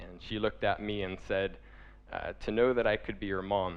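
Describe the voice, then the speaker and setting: A man speaks at a fairly low pitch with vocal fry. His pace is moderate. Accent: American. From California, USA. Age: 20s. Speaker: humanitarian, charity director. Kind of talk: personal story talk to an audience.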